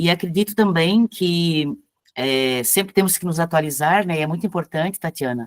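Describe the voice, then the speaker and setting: An unremarkable speaking voice from a woman, fairly low in pitch, at a moderate pace, with a dry, close sound and no echo. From Blumenau, Santa Catarina, southern Brazil. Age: 60s. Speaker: cultural activist and writer. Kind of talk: introduction in an online class. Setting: video call.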